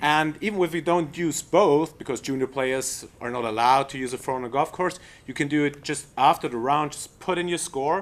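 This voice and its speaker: A man with a German accent, fairly high pitch, ordinary pitch variation and moderate pace, on a very clean recording with a silent background. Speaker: golf coach presenting app. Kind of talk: product demo presentation. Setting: trade show seminar room. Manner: halting.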